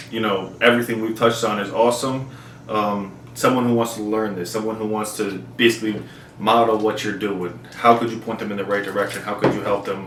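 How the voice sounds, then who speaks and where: With an American accent, a man speaks fairly quickly in a monotone, flat way. Room echo is audible, along with noticeable background noise. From New Jersey. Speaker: YouTuber interviewer. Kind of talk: interview.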